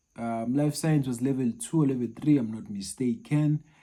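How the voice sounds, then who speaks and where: The speaker has a Zulu accent. The recording is very clean, with a silent background. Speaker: maths tutor. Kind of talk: personal story, casual talk to camera. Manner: halting.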